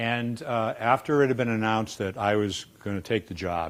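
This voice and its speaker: In a very clean recording with a silent background, a man with a Boston accent speaks at a fairly low pitch with ordinary pitch variation. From Boston, US. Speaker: dean of a public health school. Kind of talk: informal staff talk on school history.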